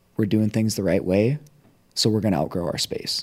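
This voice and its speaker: In a very clean recording with a silent background and a dry, close sound with no echo, a man talks at a fairly low pitch with fairly even intonation. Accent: American. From Minnesota. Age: 20s. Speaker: CrossFit strength and conditioning coach. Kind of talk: casual interview chat. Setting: studio.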